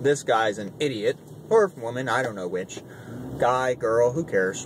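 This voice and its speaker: A man's voice swings very widely in pitch over noticeable background noise. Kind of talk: casual commentary to camera. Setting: in a car.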